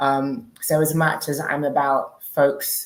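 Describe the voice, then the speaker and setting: A woman with a British accent speaks in a very deep, low voice. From UK. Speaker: diaspora relocation organizer. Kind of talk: panel discussion.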